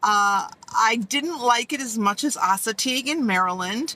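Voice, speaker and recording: In a plain, everyday voice, a woman speaks at a fairly slow pace with fairly high pitch and ordinary pitch variation. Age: 60s. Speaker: vlogger living in an SUV. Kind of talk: casual talk to camera. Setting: inside a car.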